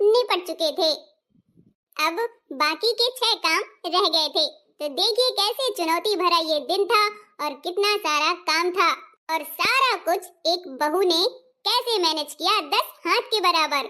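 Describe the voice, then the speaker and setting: In a cartoonish character voice, a woman speaks at an extremely high pitch with lively intonation. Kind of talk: storytelling narration addressing viewers.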